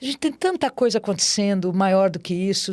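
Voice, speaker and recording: A woman's unremarkable speaking voice at medium pitch and moderate pace, on a very clean recording with a silent background. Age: 60s. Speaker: amateur marathon runner. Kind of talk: interview conversation. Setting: studio.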